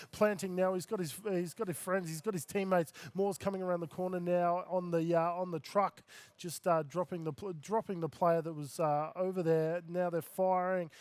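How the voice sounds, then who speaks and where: A man talks with an Australian accent. His pitch is high. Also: fairly even intonation. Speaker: esports caster. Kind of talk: live commentary. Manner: fast.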